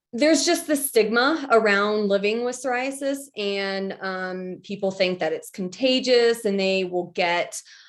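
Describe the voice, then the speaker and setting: In a normal speaking voice, the speaker moves at a fairly slow pace with lively intonation and hardly any pauses. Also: woman, fairly high pitch for a woman. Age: 30s. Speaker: patient advocate. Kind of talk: casual chat.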